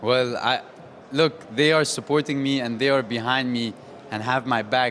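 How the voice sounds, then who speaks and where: Noticeable background noise runs beneath a man's voice. He speaks at a moderate pace with a medium pitch and fairly even intonation. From Saudi Arabia. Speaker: professional boxer. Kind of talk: post-event interview.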